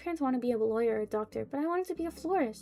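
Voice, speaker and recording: A woman's put-on character voice, high-pitched and very fast, over clear background noise. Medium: virtual streamer. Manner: hesitant, stammering.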